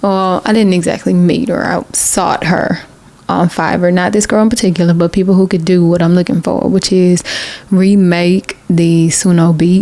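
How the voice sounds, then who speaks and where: A woman speaks in a Southern US accent at a medium pitch and a moderate pace, with fairly even intonation and very even loudness. Noticeable background noise sits behind her. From US South, Macon, Georgia. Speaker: independent singer-songwriter, video creator. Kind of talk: casual vlog talk.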